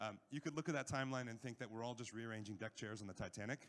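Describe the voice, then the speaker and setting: A normal speaking voice with an American accent and ordinary pitch variation. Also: man. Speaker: panel chair at a health tech conference. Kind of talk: conference presentation.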